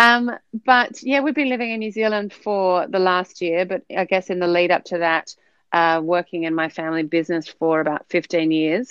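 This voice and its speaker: A woman of medium pitch with an Australian accent. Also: moderate pace. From Sydney, Australia. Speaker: podcast guest. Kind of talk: casual interview chat.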